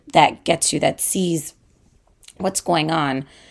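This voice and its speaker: A woman speaks at a fairly slow pace with vocal fry and a fairly low pitch. Her pitch varies in an ordinary way, and the recording is very clean with a silent background. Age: 30s. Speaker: podcast host, mother. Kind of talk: personal monologue. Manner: casual, hesitant with fillers.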